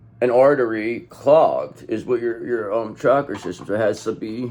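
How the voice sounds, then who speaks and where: A man's normal speaking voice at a medium pitch, with lively intonation. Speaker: tarot reader. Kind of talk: casual talk to camera, tarot reading. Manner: brash, profane, streetwise.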